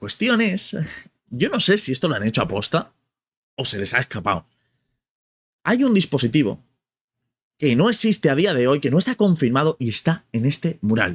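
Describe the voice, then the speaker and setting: Using vocal fry, a man speaks at a moderate pace with a fairly high pitch, very wide pitch swings and long, frequent pauses. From Spain. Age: 30s. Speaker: gaming youtuber. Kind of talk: casual vlog commentary. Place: home room.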